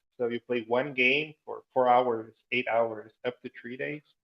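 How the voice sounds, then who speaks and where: With a Portuguese accent, a man speaks at a medium pitch and a fairly slow pace. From Brazil. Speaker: entrepreneur and gamification trainer. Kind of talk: interview.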